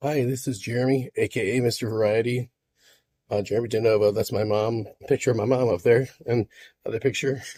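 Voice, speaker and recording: A man is speaking at a medium pitch. His voice is somewhat breathy. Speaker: content creator. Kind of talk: casual vlog. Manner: halting.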